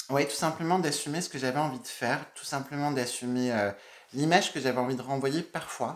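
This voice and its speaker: Speaking with a Burgundy accent, a man talks at a moderate pace. His pitch is medium, with ordinary pitch variation. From Burgundy, France (Dijon). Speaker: makeup YouTuber. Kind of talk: casual Q&A vlog.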